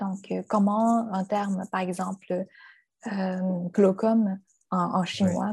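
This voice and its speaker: A woman speaks at a very slow pace in a dark, mellow tone that is somewhat breathy. Her intonation is monotone and flat. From China. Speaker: translator and university lecturer. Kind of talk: interview.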